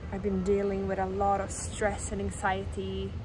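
A woman's voice, dry with no echo, over loud background noise. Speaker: vlogger. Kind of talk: casual vlog chat. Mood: relaxed, happy, then reflective. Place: waterside. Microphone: phone near.

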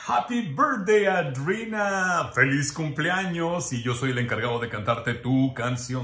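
A man talks at a moderate pace, and the room echo is audible. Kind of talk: personal video greeting. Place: home room.

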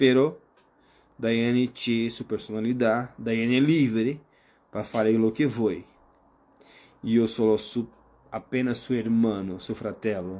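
A man speaks in a dark, mellow tone with fairly even intonation. His pace is fairly slow, broken by long, frequent pauses. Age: 30s. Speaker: live streamer. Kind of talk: casual live stream chat. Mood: calm, reflective, warm. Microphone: phone near.

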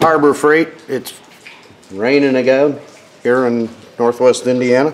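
A man at a fairly slow pace with ordinary pitch variation, against noticeable background noise. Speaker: hobbyist reviewer. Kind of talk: casual haul vlog chat. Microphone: phone near.

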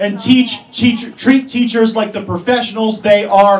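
A man's high-pitched voice carries fairly even intonation. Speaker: politician giving endorsement. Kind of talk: campaign speech. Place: hall.

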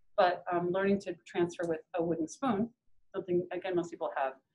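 A woman with an American accent has an unremarkable speaking voice. Her pitch is medium. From US Midwest. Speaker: painter and printmaker; instructor. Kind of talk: live demonstration stream. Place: hall. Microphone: phone near.

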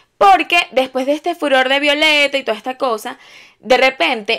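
A woman speaks with a Venezuelan accent in a high pitch. Her tone is animated, bright and sharp. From Venezuela, Valencia. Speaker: YouTuber. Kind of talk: casual storytelling vlog. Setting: at home, on her bed. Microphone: new microphone.

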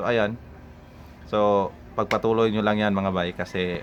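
Speaking at a fairly slow pace, a man keeps a fairly low pitch. His intonation stays fairly even. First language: Cebuano (Bisaya) (speaking Tagalog). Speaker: YouTuber. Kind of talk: casual vlog talk to viewers. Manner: halting, many fillers.

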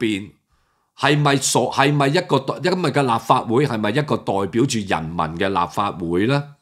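At a fairly slow pace, the voice sounds animated, with lively intonation over a quiet background. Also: man. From Hong Kong. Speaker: political commentator. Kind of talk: political commentary monologue. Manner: halting with many fillers. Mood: indignant, critical. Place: home room. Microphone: webcam.

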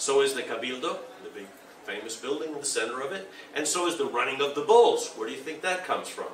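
A man talks at a very fast pace. Light background noise and some room echo can be heard. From Argentina. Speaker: urban planning speaker. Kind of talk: conference talk. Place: hall. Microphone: podium.

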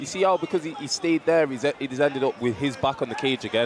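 A man's fairly quick speech with very wide pitch swings, dry sound with no echo, and noticeable background noise. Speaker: MMA co-commentator. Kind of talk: live commentary. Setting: live event cageside. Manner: excitable. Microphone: headset.

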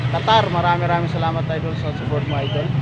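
There is loud background noise while a man talks. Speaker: vlogger. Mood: grateful, friendly. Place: street. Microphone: phone near.

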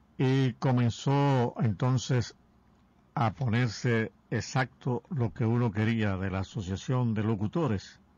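A man speaks at a very slow pace with ordinary pitch variation. The sound is dry with no echo. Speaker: radio broadcaster. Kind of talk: radio show recollection of broadcasters' association history. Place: studio.

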